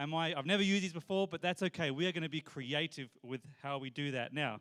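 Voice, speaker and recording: An Australian-accented man speaks at a fairly quick pace in a high pitch. His tone is animated, with ordinary pitch variation. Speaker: church family event game leader. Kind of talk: game instructions to live audience. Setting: church hall with live audience.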